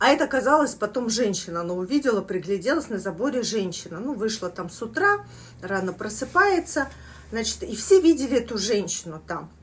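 Loudness swings widely as a woman speaks at a fairly quick pace. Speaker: eating vlogger. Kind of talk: casual vlog chat, storytelling. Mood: animated, telling spooky story. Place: kitchen. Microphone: phone near.

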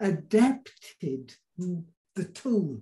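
Ordinary pitch variation from a male speaker, quiet surroundings. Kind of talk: channelled discourse, slow and halting. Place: home room. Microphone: video call.

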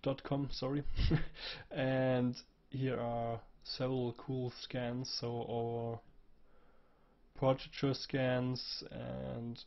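A man holds a medium pitch, his intonation flat and monotone. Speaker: 3D graphics tutorial creator. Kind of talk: software tutorial. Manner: casual with hesitations.

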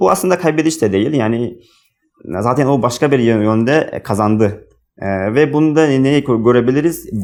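The speaker is a man with a medium pitch. His pitch moves in an ordinary way. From Uzbekistan. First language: Uzbek (speaking Turkish). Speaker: international graduate student. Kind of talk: book talk, monologue to camera. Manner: halting, many fillers.

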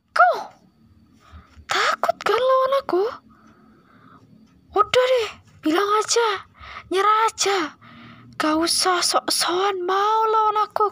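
In a put-on character voice, a woman speaks at an extremely high pitch. She goes at a fairly slow pace with long, frequent pauses. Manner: arrogant, boastful.

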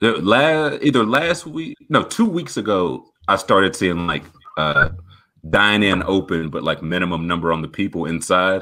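It is an unremarkable speaking voice at a moderate pace. The background is quiet. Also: man, fairly low pitch for a man. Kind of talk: casual chat. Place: home room. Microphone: video call.

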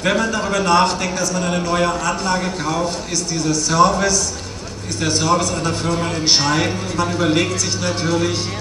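Over loud background noise and with audible room echo, a man speaks at a moderate pace. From Switzerland. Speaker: opera house sound engineer, customer. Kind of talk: protest speech, solidarity address. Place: street.

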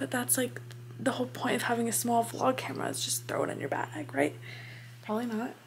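Against light background noise, a woman talks at a very fast pace. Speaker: vlogger. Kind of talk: casual vlog chat. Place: home room. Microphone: phone near.

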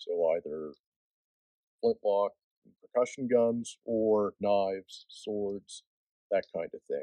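Against a quiet background, a man speaks at a very slow pace with long, frequent pauses and a dry sound with no echo. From Nova Scotia. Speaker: knife smith. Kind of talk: casual interview. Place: forest. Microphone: lapel.

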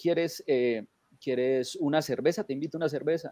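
With a dry sound, no echo and a quiet background, a man speaks at a fairly high pitch with ordinary pitch variation. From Colombia (Manizales); Colombia. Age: 40s. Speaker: rock fan; guest. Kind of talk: anecdote telling. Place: home room. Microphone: webcam.

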